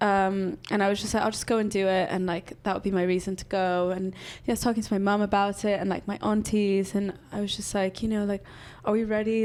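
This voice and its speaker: A woman with a Spanish accent talks at a fairly quick pace and medium pitch, her intonation monotone and flat, on a very clean recording with a silent background. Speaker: music creative and parent. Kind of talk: casual chat. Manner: filler-heavy, hesitant conversational.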